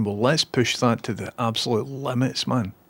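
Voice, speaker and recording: A man at medium pitch speaks with a Scottish accent. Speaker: streamer.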